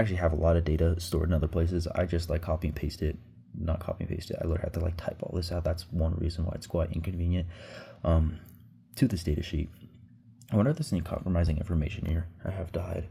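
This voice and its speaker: The delivery is very fast, in a monotone, flat intonation. The tone is dark, mellow and somewhat breathy. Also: man, very deep, low pitch for a man. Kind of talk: casual vlog talk to camera. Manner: casual, rambling.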